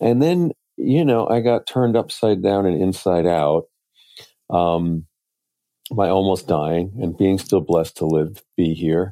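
A man with a very deep, low pitch at a fairly slow pace. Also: ordinary pitch variation. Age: 60s. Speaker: author and poet. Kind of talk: interview conversation.

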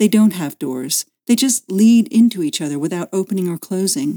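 Her voice, a woman's at a medium pitch with a dark, mellow tone and very wide pitch swings, moves at a moderate pace with a dry, close sound and no echo. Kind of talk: literary audiobook reading.

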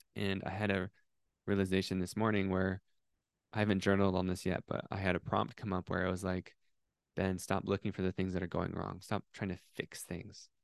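A very deep, low-pitched man at a moderate pace, with monotone, flat intonation. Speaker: podcast host and coach. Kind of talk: motivational pep talk, spiritual, direct address. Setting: solo podcast episode. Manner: warm, earnest, impassioned, conversational; unscripted, riffing, with filler words.

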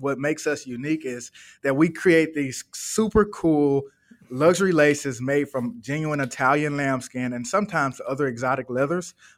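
Using an unremarkable speaking voice with an American accent, a man speaks at a moderate pace and a fairly high pitch with ordinary pitch variation, on a very clean recording with a silent background. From US South, Birmingham, Alabama. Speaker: entrepreneur. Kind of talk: interview.

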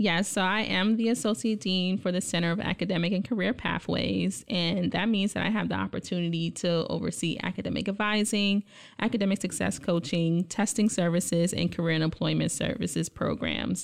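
A woman with an American accent, vocal fry, ordinary pitch variation, a fairly quick pace, hardly any pauses and very even loudness. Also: medium pitch for a woman. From New York City, Brooklyn. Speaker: college administrator. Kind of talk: interview.

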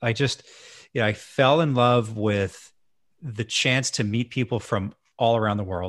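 In an unremarkable speaking voice, a man talks at a moderate pace and a fairly low pitch with ordinary variation, the sound dry and close with no echo on a very clean recording with a silent background. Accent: Canadian. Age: 40s. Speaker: hotel management consultant. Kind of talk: casual chat.

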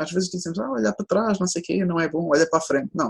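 Somewhat breathy, a woman's voice carries lively intonation. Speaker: sports psychologist. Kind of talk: interview. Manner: fast.

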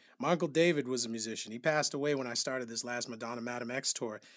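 Recorded very cleanly against a silent background, a man with an American accent has an unremarkable speaking voice at a medium pitch with ordinary pitch variation. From New Bedford, Massachusetts. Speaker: music director and producer. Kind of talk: interview.

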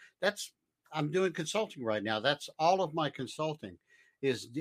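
Here is an ordinary speaking voice at a moderate pace. The sound is dry and close with no echo, on a very clean recording with a silent background. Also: man. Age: 60s. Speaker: tech consultant and trainer. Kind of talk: casual chat. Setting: live stream.

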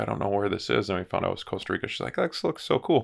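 A man's fairly low voice with vocal fry and an Upper Midwest accent, on a very clean recording with a silent background. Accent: Upper Midwest American. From US Midwest (Marshfield, Wisconsin). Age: 40s. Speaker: insurance business owner. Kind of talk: casual chat. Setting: studio.

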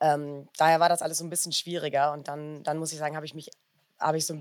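A woman speaks at a fairly low pitch. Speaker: doctoral student and former lawyer. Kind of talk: interview. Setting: festival.

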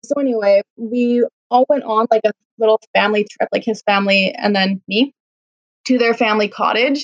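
In an ordinary speaking voice, a woman speaks at a moderate pace with a fairly high pitch and fairly even intonation, the sound dry and close with no echo. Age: 30s. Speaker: food blogger. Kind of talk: casual chat.

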